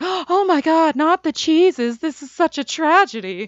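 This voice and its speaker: A woman does a put-on character voice at an extremely high pitch, with lively intonation. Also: moderate pace. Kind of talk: posh, theatrical. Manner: flamboyant, fruity, dramatic.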